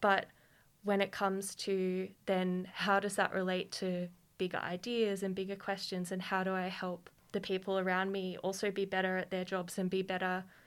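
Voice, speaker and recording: On a very clean recording with a silent background, a woman with an Australian accent talks at a moderate pace and medium pitch in a monotone, flat intonation. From Queanbeyan, New South Wales, Australia. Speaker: PhD student in anthropology. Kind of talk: panel discussion.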